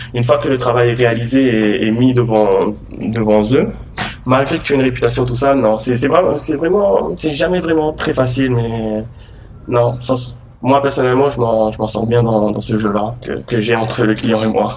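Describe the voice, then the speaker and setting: With noticeable background noise and audible room echo, a man's voice sits at a medium pitch. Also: ordinary pitch variation. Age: 20s. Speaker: art director. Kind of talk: interview.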